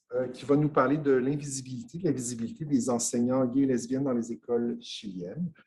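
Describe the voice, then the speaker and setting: A man speaks in a dark, mellow tone at a fairly quick pace. His intonation stays fairly even, with hardly any pauses. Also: medium pitch for a man. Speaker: conference host. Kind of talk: formal introduction. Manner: hesitant, frequent filler.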